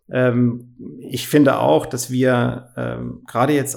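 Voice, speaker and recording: A man speaks at a medium pitch. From Germany, Freiburg im Breisgau. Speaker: company CEO. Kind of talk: interview.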